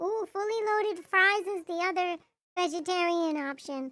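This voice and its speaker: A woman with an extremely high pitch and a bright, sharp tone speaks at a fairly slow pace. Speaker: vtuber streamer. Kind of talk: casual chat. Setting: livestream. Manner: animated.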